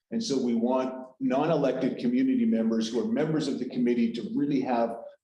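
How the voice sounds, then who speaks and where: In a room with audible echo, a man with a dark, mellow tone and medium pitch talks at a fairly quick pace with lively intonation. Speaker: meeting facilitator. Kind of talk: committee meeting briefing. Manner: halting, many restarts.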